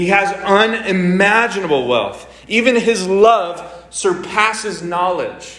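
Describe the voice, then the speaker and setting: With noticeable background noise, a man speaks at a very slow pace in a high pitch that varies in an ordinary way. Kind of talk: sermon with playful asides, like a live-demo sales pitch. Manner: animated, brisk, showman-like patter with urgent coaxing and mock-exasperated humor.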